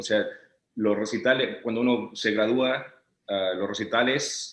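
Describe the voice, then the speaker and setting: A man's medium-pitched voice with a Chilean accent and ordinary pitch variation. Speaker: orchestral timpanist. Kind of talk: interview answer.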